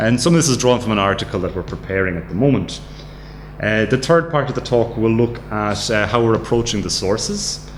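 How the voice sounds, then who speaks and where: A man with an Irish accent speaks at a fairly quick pace in a fairly low voice, with audible room echo and noticeable background noise. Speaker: academic researcher. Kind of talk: lecture. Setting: studio. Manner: halting.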